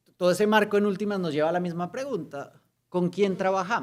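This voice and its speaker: A man is speaking. He has a Colombian accent. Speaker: lawyer and human rights activist. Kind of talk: conference talk. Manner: hesitant, with fillers.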